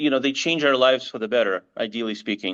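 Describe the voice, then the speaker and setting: A man talks at a fairly high pitch. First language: bilingual English and Russian. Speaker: marketing agency CEO. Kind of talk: interview. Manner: halting, many restarts.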